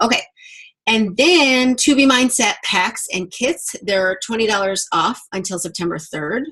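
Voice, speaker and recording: A woman speaks with ordinary pitch variation. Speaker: fitness coach leading a team call. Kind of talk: team call announcements. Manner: enthusiastic.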